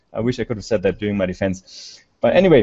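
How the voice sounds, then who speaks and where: The speaker is a man. He has a German accent. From Germany. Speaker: conference speaker, researcher. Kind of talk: conference presentation. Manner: halting. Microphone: slow connection, echo.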